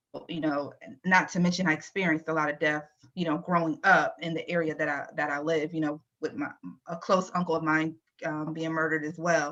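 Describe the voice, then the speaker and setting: A woman speaks at a fairly quick pace in a bright, sharp tone, her very deep, low pitch held in a monotone, flat intonation. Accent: American. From Virginia, US. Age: 40s. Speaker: IT transformation leader. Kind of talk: interview.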